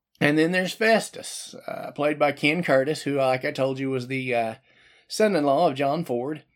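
Over a silent background in a very clean recording, a man with an American accent and a fairly high pitch speaks at a moderate pace with ordinary pitch variation. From Oklahoma City, US. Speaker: podcast host. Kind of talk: casual monologue. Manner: hesitant, many fillers.

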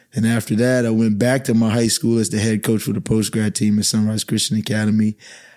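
With an American accent, a man talks very fast with hardly any pauses, his fairly low, dark, mellow voice flat and monotone at a very even loudness. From Bahamas (Nassau). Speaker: basketball coach. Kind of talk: casual chat. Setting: studio.

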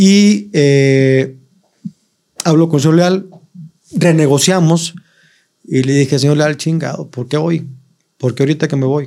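A man speaks at a fairly slow pace in a dark, mellow tone, with long, frequent pauses. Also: fairly high pitch for a man, ordinary pitch variation. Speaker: comedian. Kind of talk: casual chat.

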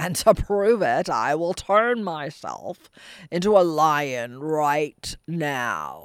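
A put-on character voice at middle pitch moves along very slowly in a very clean recording with a silent background. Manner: boastful, growling.

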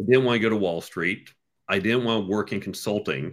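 On a very clean recording with a silent background, a man with a plain, everyday voice speaks at a fairly quick pace and medium pitch in an American accent. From US, New York and Chicago suburbs. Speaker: entrepreneur and career author. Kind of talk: casual interview.

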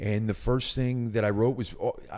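A man speaks at a moderate pace with a Philadelphia accent, recorded very cleanly against a silent background. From Northeast Philadelphia. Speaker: actor and writer. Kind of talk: casual interview.

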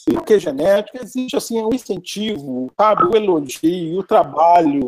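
High in pitch, a man's voice comes across with a dry, close sound and no echo. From Brazil, Minas Gerais (Belo Horizonte). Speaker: art professor. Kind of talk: interview.

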